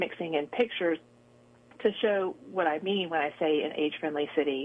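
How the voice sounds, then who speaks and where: A woman talks at a fairly quick pace in a normal speaking voice. Her pitch is fairly low and her intonation fairly even. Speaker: nursing professor. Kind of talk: radio interview. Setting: phone call. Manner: conversational, uses fillers.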